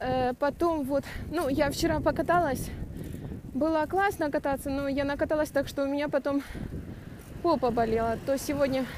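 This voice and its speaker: Speech comes at a moderate pace with fairly even intonation and long, frequent pauses. The sound is dry with no echo, and there is noticeable background noise. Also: woman, high pitch for a woman. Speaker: cyclist vlogger. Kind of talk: casual vlog chat. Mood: cheerful, chatty. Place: bicycle. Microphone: phone near.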